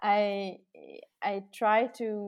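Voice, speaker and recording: In a very clean recording with a silent background, a woman speaks with a Norwegian accent. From Norway. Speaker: architect. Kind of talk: interview. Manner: hesitant, many fillers.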